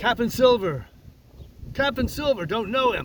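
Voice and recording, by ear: A man uses a put-on character voice with an extremely high pitch. His delivery has vocal fry and big pitch swings. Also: fairly slow pace.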